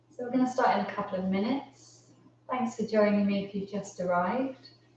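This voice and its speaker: Over noticeable background noise, a woman at a medium pitch speaks in a calm, gentle tone with fairly even intonation. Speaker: yoga teacher. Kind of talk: live online yoga class instruction.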